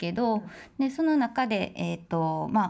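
Very wide pitch swings run through a woman's fairly high voice. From Osaka, Japan. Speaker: sculptor. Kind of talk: interview.

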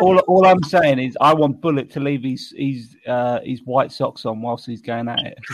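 A man with a British accent, fairly high-pitched, at a moderate pace with ordinary pitch variation, over noticeable background noise. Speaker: beard club board member. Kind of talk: casual chat. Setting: video call.

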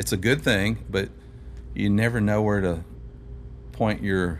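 The voice moves at a very slow pace with vocal fry. Its pitch swings very widely. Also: man. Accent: American. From Louisville, Kentucky (south end, Valley Station). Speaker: songwriter and singer. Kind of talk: casual chat.

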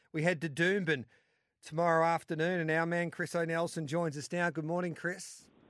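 On a very clean recording with a silent background, a man with an Australian accent talks fairly quickly at a high pitch in a monotone, flat intonation. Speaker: racing radio host. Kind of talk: casual chat.

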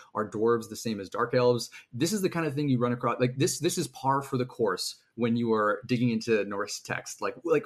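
A man's medium-pitched voice, with ordinary pitch variation, runs at a fairly quick pace. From Canada. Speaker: fantasy author. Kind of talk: casual interview chat. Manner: halting, many fillers.

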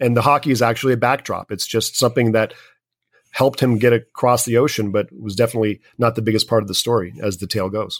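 Talking at a very fast pace with fairly even intonation, a man with a medium-pitched voice is heard in a very clean recording with a silent background and a dry, close sound with no echo. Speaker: filmmaker. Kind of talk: interview.

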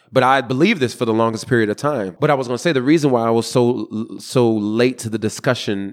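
A man with a normal speaking voice and ordinary pitch variation. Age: 30s. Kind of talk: interview.

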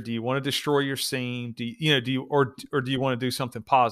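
In a very clean recording with a silent background, a man talks at a very fast pace with an American accent. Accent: Southern US, twangy, toned down for the show. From US South. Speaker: police officer. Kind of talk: casual chat. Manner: storytelling, a bit silly.

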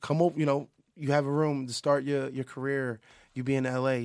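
A man's medium-pitched voice at a moderate pace, in a very clean recording with a silent background. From Philadelphia, US. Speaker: music producer. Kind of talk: casual chat. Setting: studio. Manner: halting, many repeated words.

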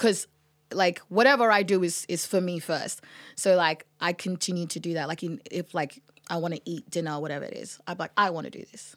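The speaker, with an Australian accent, goes at a fairly quick pace with big swings in loudness on a very clean recording with a silent background. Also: woman, fairly low pitch for a woman, ordinary pitch variation. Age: 20s. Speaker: musician. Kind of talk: casual chat.

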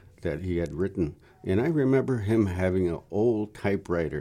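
On a very clean recording with a silent background, a man with a very deep, low pitch and a dark, mellow tone speaks in an Upper Midwest accent. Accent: Upper Midwest (Minnesota). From northern Minnesota. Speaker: Ojibwe storyteller and historian. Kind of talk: interview. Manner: halting.

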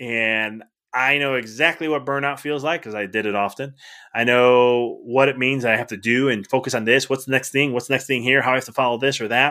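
A plain, everyday voice with an American accent moves at a fairly quick pace with fairly even intonation. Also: man, medium pitch for a man. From Chicago area, Illinois. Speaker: chiropractor turned life coach. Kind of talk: podcast interview.

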